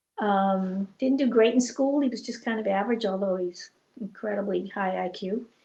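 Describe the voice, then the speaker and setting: A woman's medium-pitched, somewhat breathy voice with a dark, mellow tone, an American accent, ordinary pitch variation and a moderate pace. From New England (Boston area). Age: 70s. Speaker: estranged parent. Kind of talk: interview. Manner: halting.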